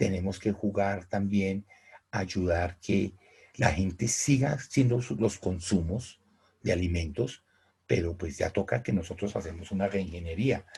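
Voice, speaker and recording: Very deep and low in pitch, a man speaks fairly slowly in a dark, mellow, somewhat breathy tone with ordinary pitch variation. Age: 60s. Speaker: teacher. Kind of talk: online class. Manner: halting, many repetitions.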